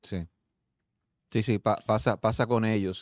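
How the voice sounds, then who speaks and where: A man at a fairly low pitch, with a quiet background and a dry sound with no echo. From Dominican Republic. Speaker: TV talk show host. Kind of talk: talk show discussion. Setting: studio. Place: studio. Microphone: studio mic.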